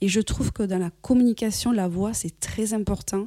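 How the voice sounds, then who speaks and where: A woman with a dark, mellow tone and fairly high pitch speaks at a moderate pace with ordinary pitch variation. The recording is very clean, with a silent background. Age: 40s. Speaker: podcast host and business coach. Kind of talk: solo podcast monologue. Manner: upbeat.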